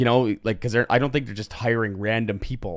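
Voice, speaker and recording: A man with an unremarkable speaking voice talks at a fairly quick pace, his medium pitch carried by fairly even intonation. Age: 40s. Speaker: podcast host. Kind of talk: casual chat. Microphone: new microphone.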